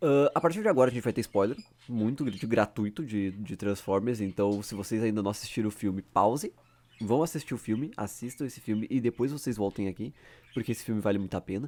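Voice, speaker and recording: On a very clean recording with a silent background, a man with a strong gaúcho accent talks at a very fast pace in an animated tone, his medium pitch showing ordinary variation. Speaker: YouTuber. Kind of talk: casual unscripted commentary.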